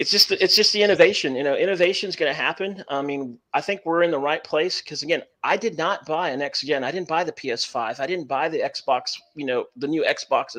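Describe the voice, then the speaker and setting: A man with a Texan accent, high pitched and bright, sharp in tone, at a fairly quick pace with ordinary pitch variation. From Texas. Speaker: podcast guest, cloud gamer. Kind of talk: casual chat. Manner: halting, repetitive.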